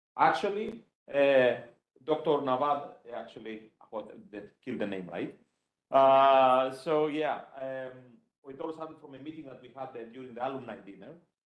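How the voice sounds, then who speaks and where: A man talks at a moderate pace and medium pitch, with ordinary pitch variation and long, frequent pauses. His loudness swings widely, and audible room echo surrounds the voice. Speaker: computer science professor. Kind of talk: conference talk.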